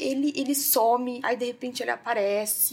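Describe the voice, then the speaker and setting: The woman's pitch is high, with ordinary variation. She speaks at a fairly slow pace. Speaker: podcast host, self-help and emotional healing. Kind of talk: casual solo talk to listeners. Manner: warm, conversational with fillers.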